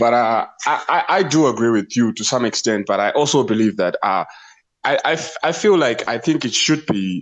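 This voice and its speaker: In a non-native accent, a man speaks at a medium pitch with ordinary pitch variation. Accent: foreign, noticeable. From outside the US. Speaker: livestream participant. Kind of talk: casual debate. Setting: TikTok livestream. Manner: halting, many repetitions.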